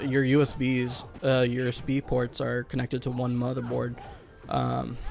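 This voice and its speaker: Music plays in the background as a man talks in a flat, monotone way. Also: medium pitch for a man, moderate pace. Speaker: gaming video co-host. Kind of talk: casual chat. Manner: hesitant, many fillers.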